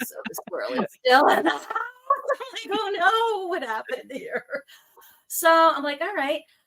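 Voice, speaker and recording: An American accent at a moderate pace, with very wide pitch swings and long, frequent pauses. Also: woman, extremely high pitch for a woman. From New York. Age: 60s. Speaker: spiritual life coach. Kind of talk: casual chat. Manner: animated.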